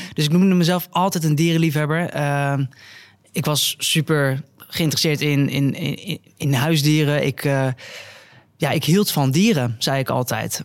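An unremarkable speaking voice from a man, fairly high in pitch, fairly slow, with fairly even intonation, in a very clean recording with a silent background. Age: 20s. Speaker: biologist and vegan influencer. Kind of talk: casual interview. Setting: on location at a cafe venue.

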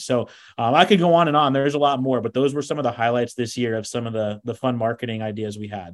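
Very fast speech from a man at medium pitch with ordinary pitch variation. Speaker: baseball broadcaster. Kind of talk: casual interview chat.

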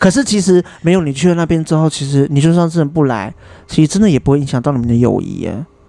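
At a very fast pace, a man speaks with a fairly high pitch and a dark, mellow tone. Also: ordinary pitch variation. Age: 30s. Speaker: podcast host. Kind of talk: casual chat.

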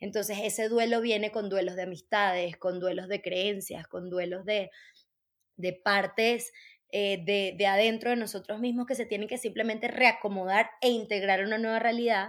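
In a Venezuelan accent, a woman talks at a moderate pace and medium pitch. The recording is very clean, with a silent background. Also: fairly even intonation. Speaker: entrepreneur. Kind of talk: casual chat.

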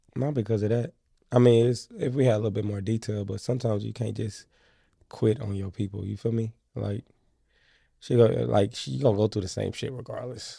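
Over a quiet background, a man speaks with an American accent at a fairly quick pace and a fairly low pitch. His tone is dark and mellow, somewhat breathy, with ordinary pitch variation. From Kansas City, Missouri. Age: 20s. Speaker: comedian. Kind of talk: casual chat.

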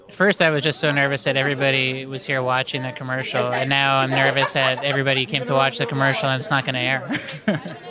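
Amid noticeable background noise and audible room echo, a man speaks at a very fast pace with hardly any pauses, his medium pitch held to a fairly even intonation. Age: 20s. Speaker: stand-up comedian. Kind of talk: casual chat.

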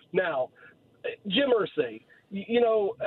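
Lively intonation and an American accent come through over noticeable background noise. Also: man. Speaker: caller, sports fan. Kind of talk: radio call-in. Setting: phone call. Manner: animated.

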